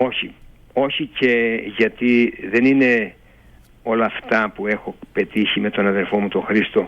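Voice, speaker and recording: Here a man speaks at a medium pitch and a very slow pace. His intonation is fairly even. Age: 70s. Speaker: retired race walking athlete. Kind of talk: radio interview.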